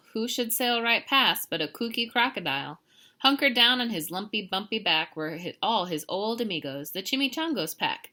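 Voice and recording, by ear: Intonation here is lively. The text is read aloud in a natural voice.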